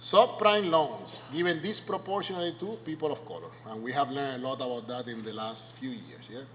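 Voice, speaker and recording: A man at fairly high pitch and a fairly quick pace, nearly without pauses, with very wide pitch swings, big swings in loudness, noticeable background noise and audible room echo. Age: 50s. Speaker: sociology professor. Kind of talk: lecture. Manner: conversational, frequent tag questions.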